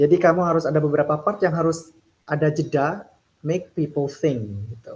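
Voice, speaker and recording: Very fast speech in an Indonesian accent, with ordinary pitch variation. The loudness swings widely. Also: man, fairly high pitch for a man. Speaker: speech contest judge. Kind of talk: feedback interview.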